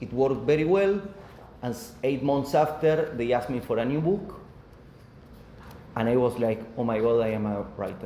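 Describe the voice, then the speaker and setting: A man with an Argentine accent speaks at medium pitch and a moderate pace, using lively intonation and long, frequent pauses. Noticeable background noise and audible room echo are present. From Argentina. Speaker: author. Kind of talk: book presentation talk. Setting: live audience at a coworking space. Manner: halting.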